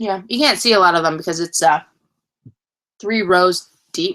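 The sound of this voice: Speaking at a slow pace, a woman has a fairly low pitch, a fairly bright tone and ordinary pitch variation.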